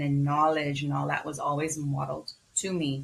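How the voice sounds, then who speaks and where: A woman is speaking. She has a Bahamian accent. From Bahamas. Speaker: physician. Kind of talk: interview.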